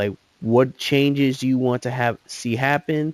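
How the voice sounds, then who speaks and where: A man speaks at medium pitch and a fairly slow pace. The sound is dry and close with no echo. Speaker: gaming youtuber. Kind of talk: casual chat. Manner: mumbling; halting.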